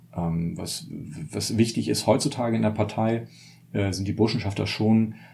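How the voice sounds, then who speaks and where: A dark, mellow tone with vocal fry. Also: man. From northern Germany, Mecklenburg. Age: 30s. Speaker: journalist and author. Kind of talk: casual chat.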